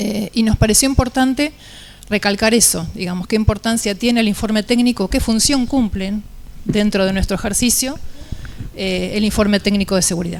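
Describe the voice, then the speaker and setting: Soft-spoken and fairly high-pitched, a woman talks at a moderate pace with ordinary pitch variation over noticeable background noise. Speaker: engineer panelist. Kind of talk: panel talk presentation. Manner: halting.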